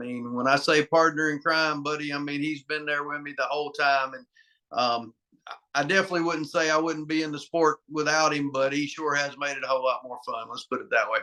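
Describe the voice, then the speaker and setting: A man with a Southern US accent speaks at a fairly quick pace in a fairly high voice. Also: fairly even intonation. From US South, North Carolina. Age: 50s. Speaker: arm wrestler. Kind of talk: interview.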